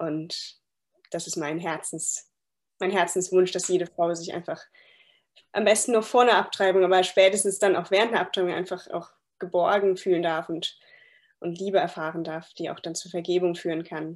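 A fairly low-pitched woman at a moderate pace, with long, frequent pauses, fairly even intonation and big swings in loudness, on a very clean recording with a silent background. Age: 20s. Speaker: midwife. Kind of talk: interview.

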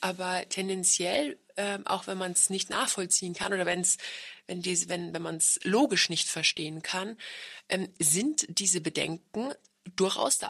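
Fairly slow and showing ordinary pitch variation, a plain, everyday voice speaks. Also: woman, medium pitch for a woman. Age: 30s. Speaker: podcast host. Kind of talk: casual chat.

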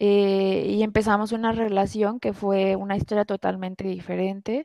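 A woman's medium-pitched, dark, mellow voice at a fairly slow pace, monotone and flat, in a dry, close sound with no echo and a very clean recording with a silent background. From Mexico, Guadalajara. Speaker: engineer, airline employee. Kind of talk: personal testimony in interview. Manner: hesitant, many fillers.

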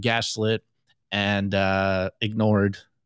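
A man speaks with an American accent. The recording is very clean with a silent background, and the sound is dry and close with no echo. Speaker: bitcoin podcast co-host. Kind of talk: live-streamed podcast commentary. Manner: animated.

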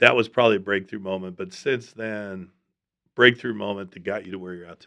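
A man with an ordinary speaking voice talks at a fairly low pitch. His intonation is fairly even, but his loudness swings a lot. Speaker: coach and podcast host. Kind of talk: interview.

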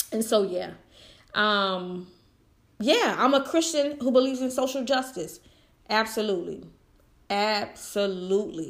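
Speech moves at a fairly slow pace. Its intonation sounds lively. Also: woman. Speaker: podcast host. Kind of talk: solo commentary podcast. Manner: intense, passionate.

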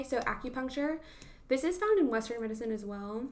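Audible room echo surrounds a woman's voice. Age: 20s. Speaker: podcast co-host. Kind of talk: casual chat; reading aloud. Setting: at home.

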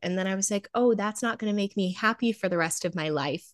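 A woman with an American accent speaks at a fairly quick pace and a fairly high pitch. The sound is dry and close with no echo. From Nevada, US. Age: 20s. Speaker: beauty pageant titleholder and college student. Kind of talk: casual interview.

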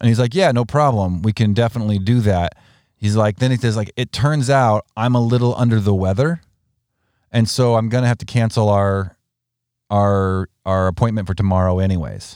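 Recorded very cleanly against a silent background, a man with a normal speaking voice talks at a moderate pace in a dry, close sound with no echo. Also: fairly low pitch for a man, ordinary pitch variation. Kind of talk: casual banter, two-host podcast chat. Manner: chatty, self-deprecating, jokey, overlapping.

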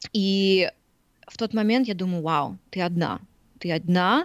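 A woman speaks with a slight Russian accent. Her pitch sits in the middle range. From Siberia, Krasnoyarsk. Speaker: fitness trainer and blogger. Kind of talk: casual chat.

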